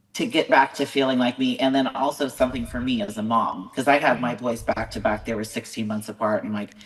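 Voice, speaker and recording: Speaking with an American accent, a woman uses a very deep, low pitch and fairly even intonation. She talks at a fairly quick pace over noticeable background noise. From California. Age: 40s. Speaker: bodybuilding show promoter and competitor. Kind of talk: podcast interview. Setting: video call.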